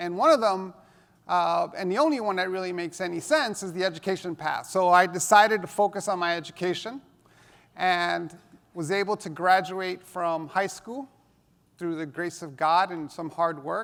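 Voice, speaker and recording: A man with a New York accent speaks at a high pitch and a moderate pace. His pitch variation is ordinary, while his loudness swings widely. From New York City (Hell's Kitchen), US. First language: Spanish. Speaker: education technology speaker. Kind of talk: conference talk.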